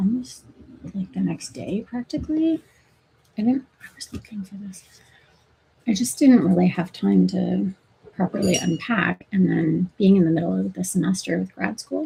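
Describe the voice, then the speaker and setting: A woman mumbles at a moderate pace, her loudness swinging widely and her speech broken by long, frequent pauses. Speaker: nursing grad student and livestreamer. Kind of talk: casual livestream chat. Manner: mumbling.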